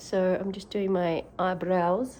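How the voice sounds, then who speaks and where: The voice has a dark, mellow tone and speaks with an Australian accent. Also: woman. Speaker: vlogger, mother and actress/model. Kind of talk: casual vlog chat, get ready with me.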